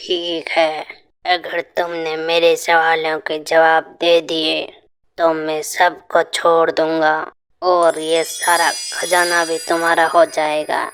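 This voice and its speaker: A cartoonish character voice at a middle pitch, delivered at a very slow pace. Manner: commanding, solemn.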